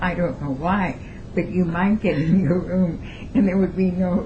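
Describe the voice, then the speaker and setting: With audible room echo and noticeable background noise, a woman speaks at a moderate pace in a fairly low voice with ordinary pitch variation. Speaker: retired teacher. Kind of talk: oral history interview. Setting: at her home.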